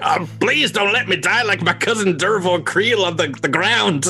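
Putting on a character voice, a man speaks high at a moderate pace against clear background noise. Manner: screaming, pleading.

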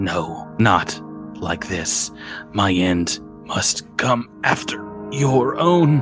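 Over clear background music, a man puts on a character voice, fairly low in pitch and very slow. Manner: strained, defiant, through gritted teeth.

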